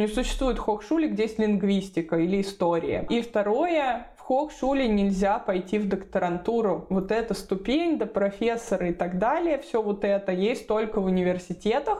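A woman at a fairly high pitch with lively intonation and a moderate pace, set against noticeable background noise. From Moscow region, Russia. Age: 30s. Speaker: relocation consultant and blogger. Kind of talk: casual interview.

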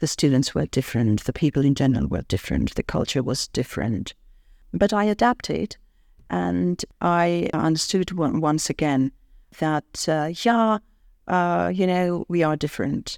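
On a very clean, silent-background recording, a woman with a British accent talks at a moderate pace, her very deep, low pitch making very wide swings. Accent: British-sounding English. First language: not English. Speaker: university professor. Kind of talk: interview. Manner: hesitant with fillers.

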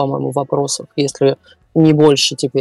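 Music plays in the background. A woman's voice sounds dry and close, with no echo. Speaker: tour guide. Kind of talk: casual chat.

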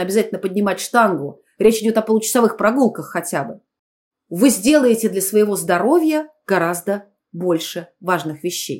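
Lively in intonation and fairly high in pitch, a woman speaks in an ordinary speaking voice at a moderate pace on a very clean recording with a silent background. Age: 50s. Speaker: clinical psychologist. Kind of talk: interview. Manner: formal.

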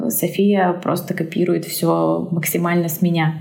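Speaking at a moderate pace, a woman with a fairly low voice is heard over audible room echo. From Siberia, Omsk. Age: 30s. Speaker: English teacher and mother. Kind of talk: casual interview.

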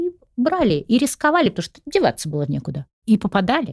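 A woman's medium-pitched voice at a moderate pace, with a dry, close sound and no echo. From Russia, St. Petersburg. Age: 60s. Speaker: executive recruiter and psychology professor. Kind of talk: podcast interview.

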